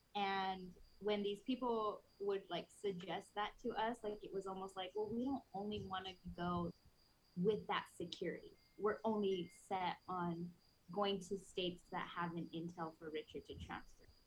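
A woman with an American accent speaks at medium pitch and a moderate pace. Her voice is somewhat breathy, with fairly even intonation. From Prescott, Arizona. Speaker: pastor's wife. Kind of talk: testimony.

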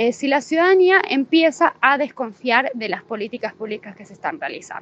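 Lively intonation from a high-pitched woman at a moderate pace. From Bolivia. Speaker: political scientist. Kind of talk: interview.

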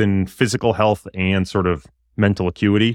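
Against a quiet background, a man in an ordinary speaking voice talks at a fairly quick pace with a fairly low pitch, the sound dry and close with no echo. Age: 30s. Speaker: investment firm executive. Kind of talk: interview.

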